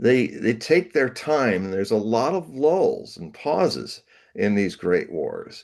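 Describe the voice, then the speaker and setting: A man speaks at a medium pitch and a fairly slow pace, with vocal fry. His pitch swings very widely against a quiet background. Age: 70s. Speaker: prophecy writer and Nostradamus interpreter. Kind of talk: interview conversation. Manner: halting with fillers.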